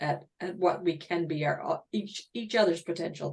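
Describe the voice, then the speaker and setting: Her intonation is lively. The woman's voice has a medium pitch. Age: 60s. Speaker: webinar host. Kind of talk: panel discussion. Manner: halting, many false starts.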